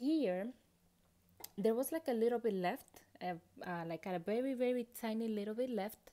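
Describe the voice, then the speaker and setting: A woman with a non-native accent speaks at a moderate pace in a fairly high pitch, with a dark, mellow tone and ordinary pitch variation. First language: not English. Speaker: home cooking video maker. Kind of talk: tutorial. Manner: hesitant, many fillers.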